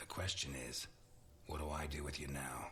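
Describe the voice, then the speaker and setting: Over clear background noise, a man puts on a raspy character voice with a very deep, low pitch, a calm tone and monotone, flat intonation, speaking at a moderate pace. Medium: video game. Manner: calm, measured.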